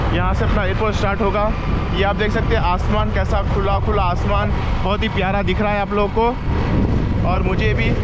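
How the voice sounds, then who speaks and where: Speech proceeds at a moderate pace, with loud background noise throughout. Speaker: motovlogger. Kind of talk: casual vlog chat. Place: motorbike. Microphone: helmet.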